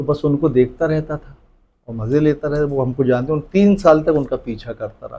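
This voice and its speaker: A somewhat breathy man speaks with a dark, mellow tone and a fairly high pitch. His pace is moderate, his pitch varies normally, and his loudness swings a lot. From Jabalpur, central India. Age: 60s. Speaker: comedian. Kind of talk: interview.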